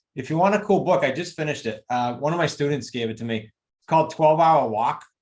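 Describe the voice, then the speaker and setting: Talking at a very fast pace, a man with a New England accent and a fairly high pitch uses lively intonation. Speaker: real estate investing coach and author. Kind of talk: interview chat.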